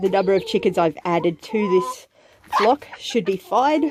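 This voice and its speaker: The clip carries noticeable background noise. A woman talks over it. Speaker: homesteader vlogger. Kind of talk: casual vlog narration. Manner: hesitant, many fillers.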